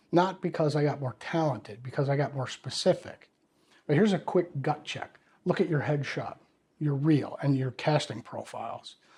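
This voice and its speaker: A somewhat breathy male voice with a fairly high pitch. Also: ordinary pitch variation, moderate pace. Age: 60s. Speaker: actor and acting career coach. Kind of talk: direct-to-camera advice talk. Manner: conversational.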